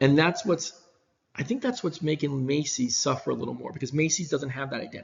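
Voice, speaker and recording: A man with an American accent at a very fast pace. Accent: New York, comes out at times. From New York. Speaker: business professor. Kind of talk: recorded lecture. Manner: casual, many fillers and restarts.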